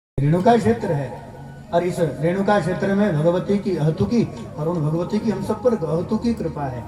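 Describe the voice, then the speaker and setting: A man speaks in a high pitch with lively intonation at a moderate pace. Background noise is noticeable. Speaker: religious discourse speaker. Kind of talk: religious sermon to live audience.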